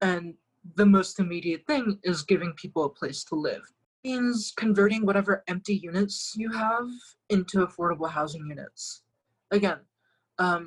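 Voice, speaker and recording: A woman's unremarkable speaking voice at a moderate pace with ordinary pitch variation. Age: 20s. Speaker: political candidate and lecturer. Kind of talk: interview, political discussion.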